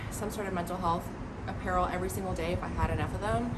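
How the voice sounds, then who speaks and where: Speaking with an American accent, a woman is heard amid noticeable background noise and audible room echo. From Hungary (Budapest) until 9, then Los Angeles. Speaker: law student and mental health content creator. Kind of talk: casual vlog introduction. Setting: outdoors on her balcony.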